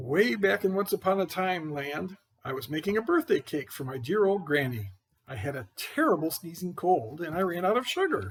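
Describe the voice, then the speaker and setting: A man puts on a character voice. He pitches it high. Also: moderate pace. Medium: read story. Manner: chatty, defensive, addresses listeners directly.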